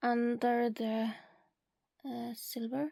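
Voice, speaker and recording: A woman's high-pitched, dark, mellow voice at a very slow pace. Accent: non-native. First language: not English. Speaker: beauty content creator. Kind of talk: product swatching tutorial.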